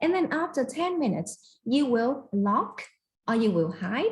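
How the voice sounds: A woman speaks at a fairly slow pace with lively intonation and a slightly mellow tone.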